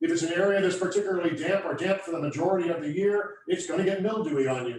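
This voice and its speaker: A man talks loudly in a high voice at a fairly quick pace. His pitch varies an ordinary amount, and room echo can be heard. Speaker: landscape contractor. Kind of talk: hands-on workshop demonstration. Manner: fast.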